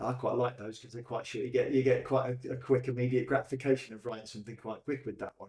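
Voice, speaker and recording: A man's very fast, medium-pitched, monotone delivery, somewhat breathy and dark and mellow in tone, with big swings in loudness and hardly any pauses. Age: 60s. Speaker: poet running a poetry group. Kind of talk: casual interview.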